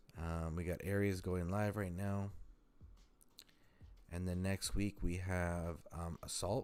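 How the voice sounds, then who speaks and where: A man with a very deep, low pitch, very slow pace, monotone, flat intonation and long, frequent pauses, music in the background. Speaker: gaming livestreamer. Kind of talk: casual livestream commentary. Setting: live stream. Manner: halting, many fillers.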